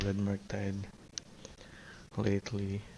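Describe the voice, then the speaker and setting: A quiet, somewhat breathy man speaks with a dark, mellow tone at a fairly low pitch. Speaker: card game streamer. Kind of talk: live gameplay commentary.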